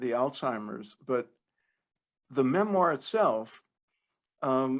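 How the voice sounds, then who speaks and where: A man's very slow speech with lively intonation, in an American accent. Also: medium pitch for a man. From New Jersey. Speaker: podcast host. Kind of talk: interview.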